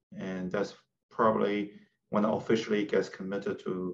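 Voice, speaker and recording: In a Chinese accent, a man speaks at a moderate pace with a fairly low pitch and fairly even intonation. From China, northeast near Vladivostok. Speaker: tech company CEO. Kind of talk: interview. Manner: halting.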